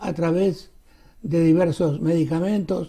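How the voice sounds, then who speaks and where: A man's high-pitched voice with a dark, mellow tone, at a fairly slow pace over a quiet background. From Argentina or Uruguay. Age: 80s+. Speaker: show host. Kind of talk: interview. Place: studio.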